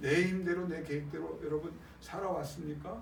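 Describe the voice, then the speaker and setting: Delivered at a moderate pace in an animated tone, the speech comes with noticeable background noise and audible room echo. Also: man. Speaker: pastor. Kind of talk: sermon.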